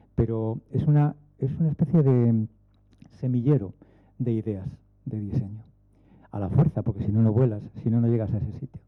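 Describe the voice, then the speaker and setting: A man talks at a moderate pace and a medium pitch with ordinary pitch variation. He leaves long, frequent pauses. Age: 60s. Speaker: aerospace engineer. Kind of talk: panel talk.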